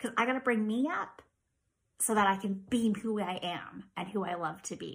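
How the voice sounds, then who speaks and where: This woman speaks at a fairly slow pace in a fairly high, somewhat breathy voice. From small-town Ontario, Canada. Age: 40s. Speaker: podcast host with chronic illness. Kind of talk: casual monologue.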